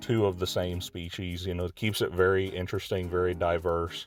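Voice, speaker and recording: With music in the background, a man talks in a Southern US accent. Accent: noticeable Southern US. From Texas. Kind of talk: casual video game tour narration. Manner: hesitant, many filler words.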